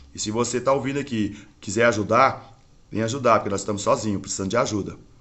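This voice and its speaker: A man with a medium pitch talks at a very fast pace with fairly even intonation. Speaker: religious internet broadcaster. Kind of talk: preaching livestream monologue.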